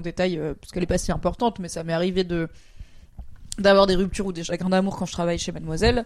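Speaking very fast, a woman uses a fairly low pitch and a monotone, flat intonation. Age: 30s. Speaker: streamer and podcast co-host. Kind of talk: casual chat.

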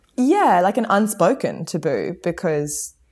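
At a fairly slow pace, a woman talks with an Australian accent. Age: 20s. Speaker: pop musician and mother. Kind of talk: interview conversation. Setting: remote call from home garage.

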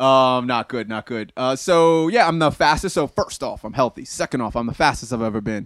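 Fairly quick and at a medium pitch with ordinary variation, a man with an ordinary speaking voice is heard in a dry, close sound with no echo on a very clean recording with a silent background. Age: 30s. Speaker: fitness enthusiast sharing his health story. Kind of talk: casual interview chat.

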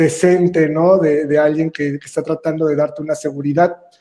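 A man with a Mexican accent speaks in a high voice with a dark, mellow tone. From Mexico, Veracruz. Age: 30s. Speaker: entrepreneur. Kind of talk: interview.

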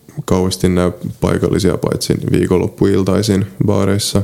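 Someone with a Polish accent speaks at a fairly slow pace in a monotone, flat intonation, with noticeable background noise behind them. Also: man, very even loudness. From Finland, South Ostrobothnia (Seinäjoki). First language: Polish (speaking Finnish). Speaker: travel writer and medical student. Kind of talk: interview. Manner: halting.

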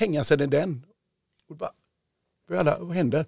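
A man with a fairly high pitch and lively intonation speaks in a somewhat breathy way. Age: 50s. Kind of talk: interview. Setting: studio.

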